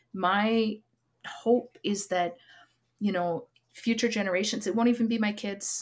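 A woman with a Canadian accent and a medium pitch speaks fairly slowly with fairly even intonation and long, frequent pauses. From Alberta, Canada (Lac Saint Anne). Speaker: Métis author. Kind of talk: interview.

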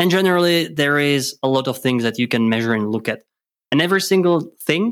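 A man with a Czech accent and ordinary pitch variation, on a very clean recording with a silent background. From Czech Republic. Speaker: podcast co-host, data analytics consultant. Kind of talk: casual chat. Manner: hesitant, many filler words.

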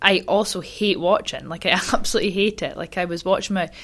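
A woman with a Scottish accent talks at a moderate pace with fairly even intonation, recorded very cleanly with a silent background. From Scotland, Highland Perthshire. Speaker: curler, athlete. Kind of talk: casual chat.

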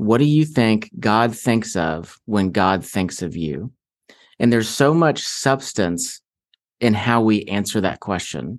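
A man with a fairly low pitch speaks at a very slow pace with lively intonation over a quiet background. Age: 40s. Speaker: author and Enneagram teacher. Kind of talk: interview.

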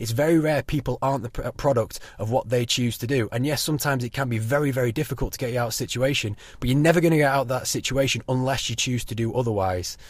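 A somewhat breathy man's voice at medium pitch, very fast pace and ordinary pitch variation. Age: 20s. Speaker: podcast host. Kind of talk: solo monologue. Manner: casual, hesitant with fillers.

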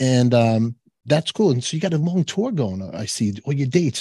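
With a Brooklyn accent, a man speaks at a moderate pace in a somewhat breathy, dark, mellow tone with lively intonation, recorded dry and close with no echo. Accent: Brooklyn New York. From New York, Canarsie Brooklyn. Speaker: podcast host. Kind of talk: casual interview. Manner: animated.

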